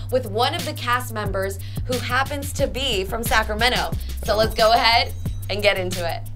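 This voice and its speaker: Clear music can be heard in the background. Over it, a woman speaks at a fairly quick pace. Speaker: radio host. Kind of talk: podcast interview questions. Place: studio. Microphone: lapel.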